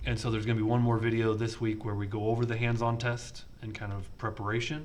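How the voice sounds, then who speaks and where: A very fast, monotone delivery with flat intonation and audible room echo. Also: man, medium pitch for a man. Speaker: programming instructor. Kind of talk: lecture. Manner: halting.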